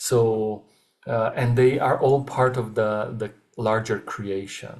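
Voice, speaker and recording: In a non-native accent, the words come very slowly. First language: not English. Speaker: webinar facilitator. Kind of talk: webinar talk. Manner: halting, many filler sounds.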